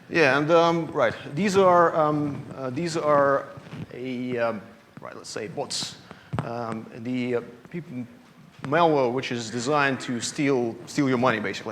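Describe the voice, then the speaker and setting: A man's fairly high voice with a Russian accent, with audible room echo and noticeable background noise. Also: ordinary pitch variation, fairly slow pace. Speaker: security analyst. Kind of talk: conference talk. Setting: stage with audience. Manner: halting, many fillers.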